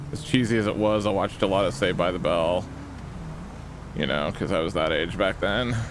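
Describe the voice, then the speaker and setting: A man's very deep, low voice, relaxed in tone with ordinary pitch variation, at a fairly quick pace broken by long, frequent pauses, with audible room echo and noticeable background noise. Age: 40s. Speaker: streamer playing police roleplay game. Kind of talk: live gaming stream chat. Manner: casual, relaxed.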